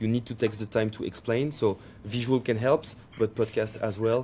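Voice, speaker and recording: A man with a French accent talks at a fairly quick pace in a medium pitch. His tone is dark and mellow, on a very clean recording with a silent background. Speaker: startup CEO and co-founder. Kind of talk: podcast interview. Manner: halting, with frequent repetitions.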